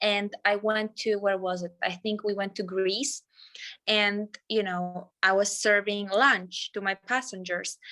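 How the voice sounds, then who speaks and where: A woman with a non-native accent and a medium pitch speaks fairly slowly in a bright, sharp tone with monotone, flat intonation, the sound dry and close with no echo. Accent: foreign. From Poland. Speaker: flight attendant. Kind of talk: casual chat.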